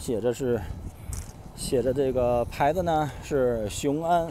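A man speaks at a fairly slow pace with lively intonation. The sound is dry with no echo, over light background noise. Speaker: travel vlogger. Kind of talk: travel vlog narration, walking tour. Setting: outdoors on location. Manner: conversational, casual, with filler sounds. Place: street. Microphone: phone near.

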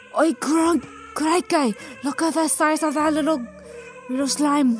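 Over clear background music, a put-on character voice at a high pitch keeps very even loudness at a moderate pace. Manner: playful, exaggerated.

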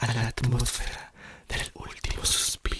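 The speech moves at a very slow pace, with audible room echo and light background noise. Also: man. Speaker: poetry reader. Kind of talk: poetry reading, ASMR whispered reading. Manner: whispered, soft-spoken. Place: home room.

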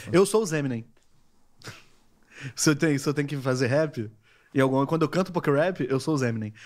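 The speech moves at a fairly quick pace but has long, frequent pauses. Pitch varies in an ordinary way against a quiet background. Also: man, fairly high pitch for a man. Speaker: podcast co-host; podcast host. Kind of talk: casual chat. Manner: fast. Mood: amused, joking. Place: studio. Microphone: studio mic.

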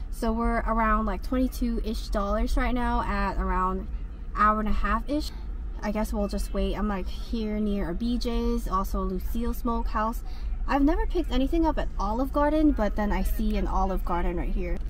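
At a moderate pace, a woman speaks in a dry sound with no echo over light background noise. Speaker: delivery driver vlogger. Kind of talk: casual vlog chat. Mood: reflective rant. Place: car. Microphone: phone near.

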